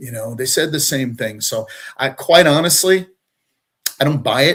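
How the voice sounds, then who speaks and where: A moderate pace with ordinary pitch variation, in an American accent. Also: man. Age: 60s. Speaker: retired deputy fire chief. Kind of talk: interview. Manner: halting, many fillers.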